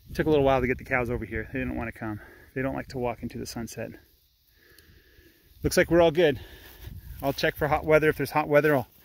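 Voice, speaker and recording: The man talks at a very fast pace, and the sound is dry with no echo. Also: ordinary pitch variation. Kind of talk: casual vlog chat. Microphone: phone near.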